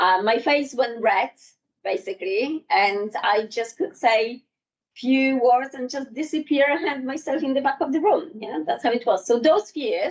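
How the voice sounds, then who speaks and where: A woman with a high pitch talks at a fairly slow pace, her intonation lively. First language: not English. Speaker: public speaking trainer. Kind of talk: workshop presentation. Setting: in-person workshop with live audience. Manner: halting.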